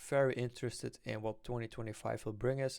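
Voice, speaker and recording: In a very clean recording with a silent background, a man with a non-native accent speaks at a medium pitch with ordinary pitch variation. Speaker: stock investing youtuber. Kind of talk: casual investing vlog. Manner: halting, many fillers.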